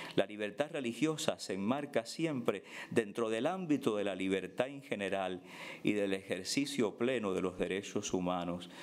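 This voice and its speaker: Using a plain, everyday voice, a man with a fairly low pitch speaks at a moderate pace with lively intonation. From Cuba. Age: 50s. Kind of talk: prepared speech read aloud at a panel. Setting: conference panel. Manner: formal.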